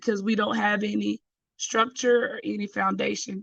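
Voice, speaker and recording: Someone with a Southern US accent speaks at a moderate pace. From Georgia, US South. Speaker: caller. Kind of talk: live stream discussion. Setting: live stream call without camera.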